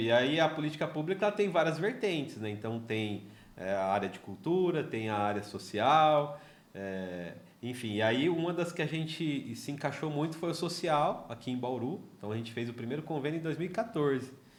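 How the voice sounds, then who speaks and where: The pitch swings very widely at a moderate pace. Room echo is audible. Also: man. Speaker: podcast host, social entrepreneur. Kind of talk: casual interview. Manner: halting, many repetitions.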